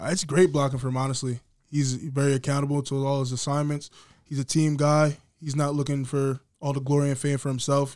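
The delivery is monotone, with flat intonation and a fairly quick pace. The speaker has an American accent. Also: man, fairly high pitch for a man. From New Jersey. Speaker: college football player. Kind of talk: casual interview.

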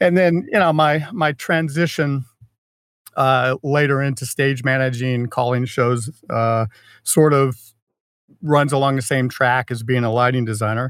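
A man of medium pitch talks at a fairly slow pace with ordinary pitch variation. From Florida. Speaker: lighting designer and stage manager. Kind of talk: casual interview chat. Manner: halting, many repetitions and fillers.

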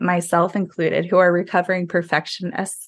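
Against a quiet background, a woman with an American accent talks at a fairly quick pace in a normal speaking voice at medium pitch. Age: 30s. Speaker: health and wellness coach. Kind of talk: casual chat.

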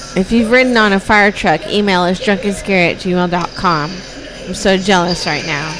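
With noticeable background noise, a woman of medium pitch talks in an animated tone at a moderate pace, her pitch varying in an ordinary way. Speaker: podcast host. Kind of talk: casual chat. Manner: animated, laughs often.

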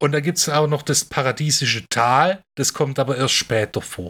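This man's voice comes on a very clean recording, with nothing audible behind it. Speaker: film podcast co-host. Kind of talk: casual chat.

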